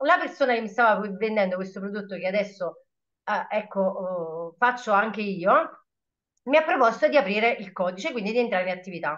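Against a quiet background, a woman talks at a fairly quick pace in an animated tone with lively intonation. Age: 30s. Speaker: shop assistant and network marketer. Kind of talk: testimony. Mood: enthusiastic, motivational. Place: home room. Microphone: webcam.

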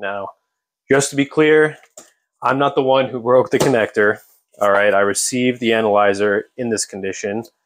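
Light background noise is present. A man speaks with ordinary pitch variation at a moderate pace. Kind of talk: tutorial. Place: workshop. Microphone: phone near.

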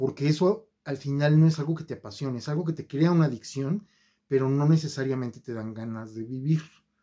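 Against a quiet background, a man talks at a fairly quick pace in a dark, mellow tone, his fairly high voice showing ordinary pitch variation and big swings in loudness. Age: 50s. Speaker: YouTuber. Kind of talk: video monologue; casual vlog chat. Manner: hesitant fillers. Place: home room. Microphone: phone near.

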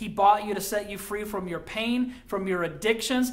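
With ordinary pitch variation, the passage is read in an unforced voice.

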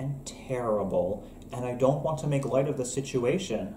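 A man at a moderate pace, with audible room echo and light background noise. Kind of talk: comedic sketch dialogue. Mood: playful, grumpy misanthropic humor. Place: kitchen. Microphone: webcam.

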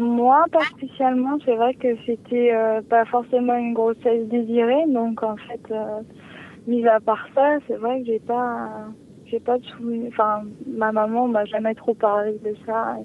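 Amid noticeable background noise, a woman with a fairly high pitch speaks at a very slow pace in a flat monotone. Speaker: caller. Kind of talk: personal consultation. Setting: phone call. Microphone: sounds far away.

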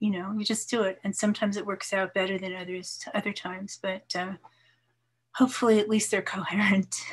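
With an American accent, a woman speaks at a fairly quick pace in a medium, somewhat breathy voice with fairly even intonation against a quiet background. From New York. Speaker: poet and retired English professor; poet, retired English professor. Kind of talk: casual interview with poetry readings. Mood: warm, relaxed. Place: home room. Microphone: video call.

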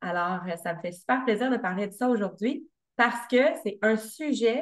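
Against a quiet background, a woman with a Quebec accent talks very slowly at a fairly high pitch, her pitch varying in an ordinary way. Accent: Québécois French. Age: 30s. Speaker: fitness coach and podcaster; fitness coach, podcaster. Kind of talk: interview conversation. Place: home room. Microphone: video call.

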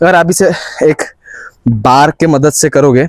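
The speech comes at a fairly slow pace with ordinary pitch variation, in a dry sound with no echo over a quiet background. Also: man. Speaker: fitness vlogger. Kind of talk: casual fitness vlog and sponsor promo. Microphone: lapel.

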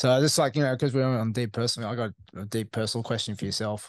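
At a fairly quick pace, a man talks in a medium pitch with ordinary pitch variation and a fairly bright tone.

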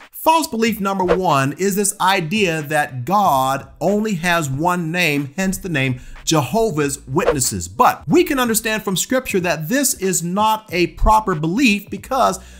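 Intonation is lively as a man speaks fairly slowly through noticeable background noise. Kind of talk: teaching vlog commentary. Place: home room. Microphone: studio mic.

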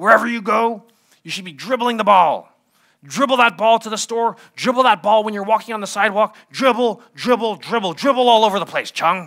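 A man performs a put-on character voice, raspy and high. He speaks at a fairly quick pace. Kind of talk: sermon. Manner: stern, commanding.

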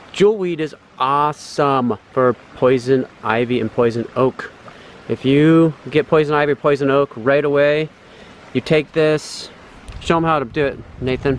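A man's fairly slow speech with ordinary pitch variation, in a dry sound with no echo and light background noise. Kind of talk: casual outdoor tutorial chat. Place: waterside. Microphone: phone near.

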